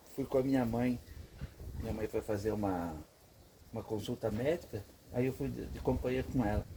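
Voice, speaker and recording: A man speaks at medium pitch. His intonation is lively. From interior of São Paulo state, Brazil (Avaré). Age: 60s. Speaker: veteran car mechanic. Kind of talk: casual storytelling to camera. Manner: casual, with repeated filler 'entendeu'.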